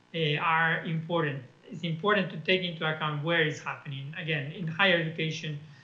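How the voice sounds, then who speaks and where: In a room with audible echo, a man with a fairly high pitch speaks fairly quickly with fairly even intonation. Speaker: education policy expert. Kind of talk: conference talk. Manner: hesitant, many fillers.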